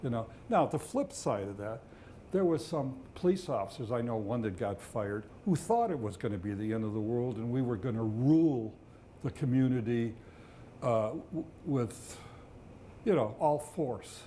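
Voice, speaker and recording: A man with an American accent speaks at a moderate pace with a medium pitch and a dark, mellow tone. His intonation is lively, broken by long, frequent pauses. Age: 70s. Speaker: retired police officer. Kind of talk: oral history interview. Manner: halting, many fillers.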